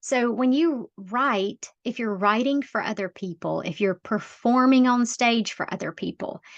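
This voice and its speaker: Against a quiet background, with a dry, close sound and no echo, a woman with a strong Southern US accent speaks at a very slow pace, with ordinary pitch variation. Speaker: life coach, podcaster. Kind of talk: self-help podcast talk. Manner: casual, conversational.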